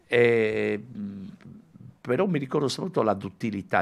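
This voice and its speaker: A man speaks at a moderate pace with vocal fry. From Sardinia, Alghero; Sardinia. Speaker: musician and music teacher; music teacher. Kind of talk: radio interview. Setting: radio studio, also televised. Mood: calm, nostalgic. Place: studio. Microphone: studio mic.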